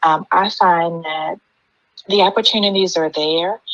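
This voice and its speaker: A woman speaks with a slight Southern US accent. Her pace is moderate. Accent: slight Southern twang. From US, Maryland. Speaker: panelist, mentor. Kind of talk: panel discussion.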